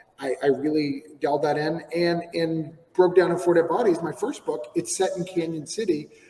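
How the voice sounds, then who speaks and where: A man with an American accent, high-pitched, at a moderate pace with hardly any pauses and fairly even intonation, amid noticeable background noise. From New Hampshire, US. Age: 40s. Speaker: comic book writer. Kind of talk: podcast interview.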